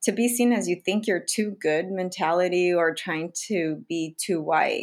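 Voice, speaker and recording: An unremarkable speaking voice with an American accent moves at a moderate pace with lively intonation, in a very clean recording with a silent background. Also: woman. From US, low-income diverse community. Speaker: doctor and podcast host. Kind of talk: casual chat.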